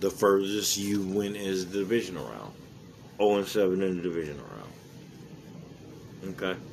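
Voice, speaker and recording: Over audible room echo, a man with a fairly low pitch speaks at a fairly slow pace in an animated tone with ordinary pitch variation. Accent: American. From Palmdale, California. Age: 40s. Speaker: sports podcaster. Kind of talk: solo sports commentary podcast. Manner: casual, animated.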